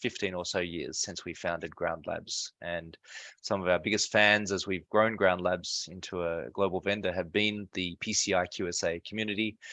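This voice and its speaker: A man with a very deep, low pitch and a bright, sharp tone talks at a fairly quick pace with fairly even intonation, the sound dry and close with no echo. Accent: Australian. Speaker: security software company co-founder. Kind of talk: self-introduction on webinar. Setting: video call webinar.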